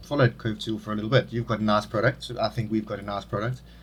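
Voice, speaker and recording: A man with a South African accent speaks in a somewhat breathy voice. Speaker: podcast host. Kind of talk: casual interview chat.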